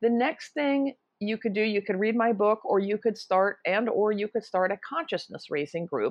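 In an unremarkable speaking voice, a fairly high-pitched woman talks at a moderate pace with ordinary pitch variation and hardly any pauses. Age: 60s. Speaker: author and anti-ageism activist. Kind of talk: interview. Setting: remote call.

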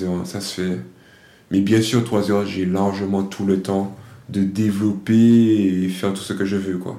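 Audible room echo surrounds a man speaking at a very slow pace. His pitch is fairly low and his intonation fairly even. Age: 20s. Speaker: discus thrower and podcast host. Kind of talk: solo monologue answering own questions. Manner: hesitant, with many fillers.

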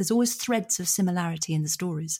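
A woman in an English accent, somewhat breathy and dark, mellow in tone, with ordinary pitch variation in a very clean recording against a silent background. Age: 50s. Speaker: psychotherapist and author. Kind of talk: interview.

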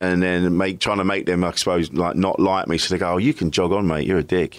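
The speaker has a British accent and a fairly quick pace. The recording is very clean, with a silent background. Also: man. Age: 40s. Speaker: comedian and podcaster. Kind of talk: casual interview.

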